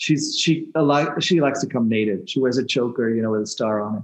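A man at medium pitch with ordinary pitch variation, at a moderate pace. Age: 60s. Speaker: shamanic healer. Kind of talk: interview.

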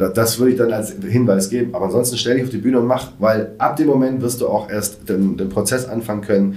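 Noticeable background noise sits behind a man at a medium pitch. He speaks at a very fast pace with hardly any pauses. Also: ordinary pitch variation. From Germany, Swabia (Reutlingen). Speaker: stand-up comedian and event organizer. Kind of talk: casual chat. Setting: studio.

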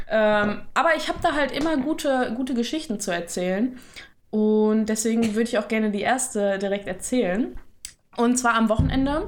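Lively intonation and a fairly high pitch mark this woman's a normal speaking voice. She keeps a moderate pace. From Ruhr area, western Germany. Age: 20s. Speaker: podcast co-host. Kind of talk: casual chat.

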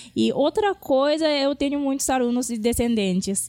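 A woman speaks with a Japanese accent. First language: Japanese (speaking Portuguese). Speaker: Japanese language teacher. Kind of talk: interview.

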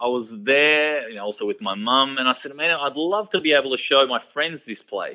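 With an Australian accent, a man is talking. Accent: typical Australian. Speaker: author. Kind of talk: radio interview. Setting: radio studio.

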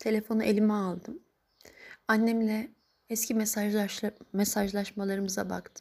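A woman with a fairly high pitch keeps a moderate pace and monotone, flat intonation, leaving long, frequent pauses. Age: 30s. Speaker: grieving daughter sharing a personal diary. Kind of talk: personal audio diary monologue. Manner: halting, emotional.

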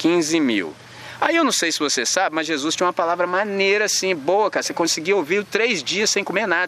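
A man with a high voice talks very fast, using ordinary pitch variation, as background noise remains noticeable. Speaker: urban missionary and skateboarder. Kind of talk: sermon-style talk to a young audience. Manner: animated, slangy.

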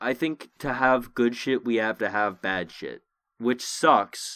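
A man speaks in a plain, everyday voice at a medium pitch. His pace is fairly slow, with ordinary pitch variation. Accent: American. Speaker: podcast host. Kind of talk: casual chat, heated argument with swearing. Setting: remote recording over voice chat. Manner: loud, profane, sarcastic, rambling.

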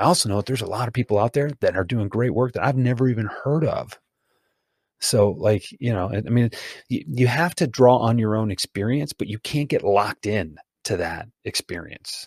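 A man's medium-pitched, somewhat breathy voice at a fairly quick pace, with ordinary pitch variation, in a dry, close sound with no echo and a very clean recording over a silent background. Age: 40s. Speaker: sales consultant and author. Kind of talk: casual interview.

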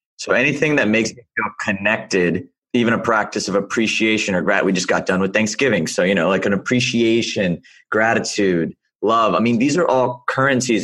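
A man's very fast speech with an American accent and ordinary pitch variation over a quiet background. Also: very even loudness. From US South. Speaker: podcast host. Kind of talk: interview. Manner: animated.

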